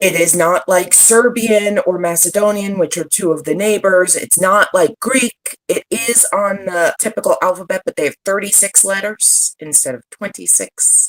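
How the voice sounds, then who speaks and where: A woman's normal speaking voice, medium in pitch with ordinary pitch variation and hardly any pauses, in a dry, close sound with no echo. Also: moderate pace. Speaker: social media strategist and digital nomad. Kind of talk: podcast interview.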